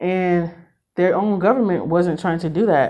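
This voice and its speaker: A woman's fairly low voice with ordinary pitch variation. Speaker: spiritual reader. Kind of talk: spiritual reading monologue. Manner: halting, self-correcting.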